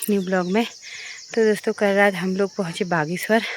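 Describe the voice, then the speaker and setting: Delivery comes at a fairly slow pace, with noticeable noise in the background. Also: woman. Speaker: travel and family vlogger. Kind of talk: casual vlog. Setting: outdoors on a rooftop.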